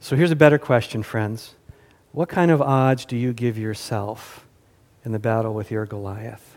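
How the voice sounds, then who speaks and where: A man with an American accent and a normal speaking voice, medium in pitch with ordinary pitch variation, at a moderate pace. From US South. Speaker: pastor. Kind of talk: sermon. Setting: church.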